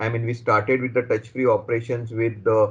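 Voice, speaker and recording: This man talks at a fairly quick pace, his voice somewhat breathy. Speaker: product specialist presenting a vendor webinar. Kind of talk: webinar presentation. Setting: online webinar. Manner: hesitant, many fillers.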